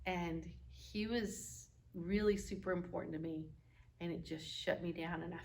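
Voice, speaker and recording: A woman talks at a fairly slow pace with an Oklahoma accent. Audible room echo can be heard. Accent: Oklahoma accent, pronunciation gets corrected. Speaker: marriage course teacher. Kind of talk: lecture with role-play demonstration.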